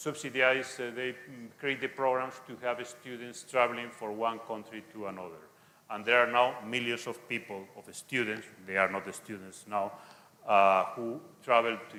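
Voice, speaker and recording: Heard with audible room echo, a man of medium pitch speaks at a moderate pace with fairly even intonation. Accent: Spanish. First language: Spanish. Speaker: conference speaker, Spanish language teacher. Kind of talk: lecture; Q&A answer. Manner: halting.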